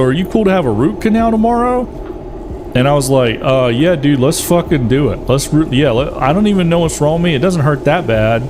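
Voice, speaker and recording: In a room with audible echo and noticeable background noise, a man with a fairly high voice talks at a fairly quick pace with very wide pitch swings. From US South. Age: 40s. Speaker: gaming streamer. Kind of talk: casual chat. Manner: animated.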